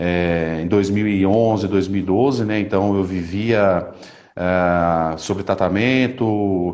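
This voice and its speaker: A man in a normal speaking voice talks at a fairly low pitch with ordinary pitch variation. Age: 30s. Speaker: Paralympic athlete and speaker. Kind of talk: testimony.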